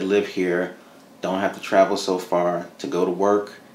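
An American-accented man's very deep, low voice, flat and monotone, at a fairly slow pace with audible room echo. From New Jersey (Madison, Morris County). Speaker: economic development executive. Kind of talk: interview. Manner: conversational with many filler words. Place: studio.

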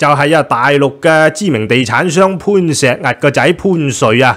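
Against a quiet background, a man with a Hong Kong accent speaks at a fairly slow pace in a fairly high voice. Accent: Hong Kong Cantonese. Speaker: news commentary host. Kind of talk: solo news commentary; news commentary. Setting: studio with green screen. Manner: casual, many filler sounds. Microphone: studio mic.

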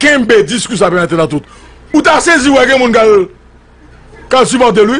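A man's intonation is lively while his pace stays moderate. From Haiti. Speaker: political commentator. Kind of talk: political commentary monologue. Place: studio. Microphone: studio mic.

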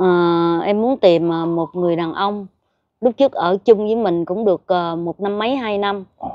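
In an ordinary speaking voice, a woman talks at a fairly slow pace. Her pitch is medium, with ordinary pitch variation. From southern Vietnam, Long Thành (Đồng Nai). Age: 50s. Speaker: woman seeking help over a romance scam. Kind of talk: interview about personal life.

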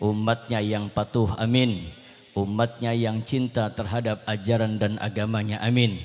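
A man speaks at a fairly slow pace with a fairly low pitch. His intonation stays monotone and flat. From Jakarta, Indonesia (born in Cirebon); Jakarta, Indonesia. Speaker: Islamic preacher. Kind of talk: sermon. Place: stage. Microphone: handheld.

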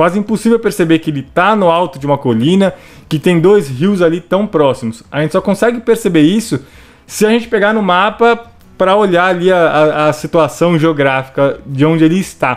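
A man with a São Paulo accent speaks in a high, enthusiastic voice. His intonation is lively, at a moderate pace. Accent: Brazilian Portuguese, paulistano. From Brazil, São Paulo city. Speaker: gaming YouTuber. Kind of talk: video narration over gameplay. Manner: casual, enthusiastic.

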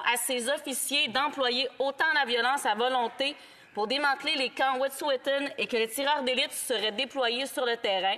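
With a Quebec French accent, a woman projects a raised, high-pitched voice at a fairly quick pace with fairly even intonation. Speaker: politician. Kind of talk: parliamentary debate. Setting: parliament chamber. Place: hall.

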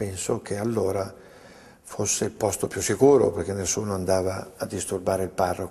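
Against a quiet background, a man with a dark, mellow, somewhat breathy tone speaks at a moderate pace, his fairly low voice held to fairly even intonation. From Lombardy, Italy (Treviglio, Bergamo area); Lombardy, Italy. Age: 70s. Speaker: bank president. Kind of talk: interview testimony. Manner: hesitant, with frequent fillers. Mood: calm, earnest. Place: office.

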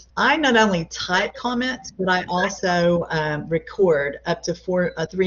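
A woman at a medium pitch has an unremarkable speaking voice. She talks at a moderate pace with lively intonation. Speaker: college English instructor. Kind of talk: lecture. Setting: video call.

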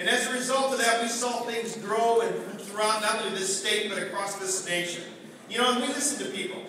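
Against noticeable background noise and strong room echo, a man speaks in a raised, projected voice at a fairly quick pace with ordinary pitch variation. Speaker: politician addressing delegates. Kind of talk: political speech. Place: hall.

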